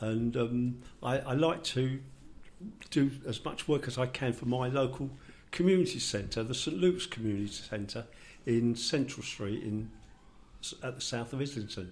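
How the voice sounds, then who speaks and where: A man speaks at a fairly slow pace and medium pitch, somewhat breathy, with ordinary pitch variation. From London.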